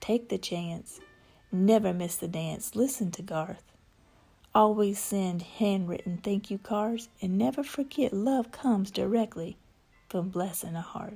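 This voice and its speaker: With a slight Southern accent, a woman speaks fairly slowly at a medium pitch, her dark, mellow tone somewhat breathy and her pitch varying in an ordinary way. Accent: slight southern drawl. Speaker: spoken word poet. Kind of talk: poetry reading.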